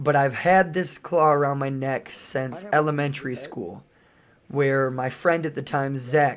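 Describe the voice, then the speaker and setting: A man with an unremarkable speaking voice talks at a fairly slow pace, his pitch fairly high with ordinary pitch variation. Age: 30s. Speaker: fitness vlogger. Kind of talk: voice-over narration. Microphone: recorded later as voice-over, original audio poor.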